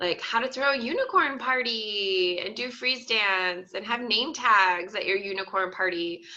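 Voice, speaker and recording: Speaking fairly slowly in a normal speaking voice, a woman keeps a fairly high pitch that varies in an ordinary way. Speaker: school librarian. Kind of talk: webinar presentation. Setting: online webinar.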